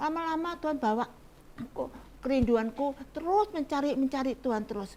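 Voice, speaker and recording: This woman has a high pitch. Her intonation is lively. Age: 80s+. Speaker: elderly church volunteer. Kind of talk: testimony.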